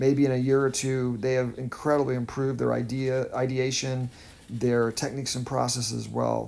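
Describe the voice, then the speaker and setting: A man with an American accent speaks at a medium pitch in a monotone, flat delivery. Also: moderate pace. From United States. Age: 50s. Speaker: artist and art teacher. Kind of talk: unscripted art tutorial voiceover. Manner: halting, stammers at times; calm, reflective.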